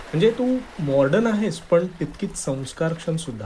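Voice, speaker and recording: A man speaks with lively intonation at a fairly high pitch. Noticeable background noise can be heard. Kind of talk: scripted romantic dialogue voiceover. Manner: hesitant, then warm and sincere.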